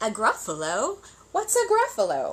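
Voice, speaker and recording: A woman performs a put-on character voice at an extremely high pitch. She keeps a moderate pace. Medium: read story.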